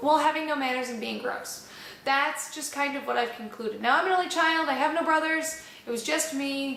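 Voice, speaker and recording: Loud and high-pitched, a woman speaks at a moderate pace with fairly even intonation, her voice carrying audible room echo. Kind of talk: instructional talk. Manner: casual, conversational.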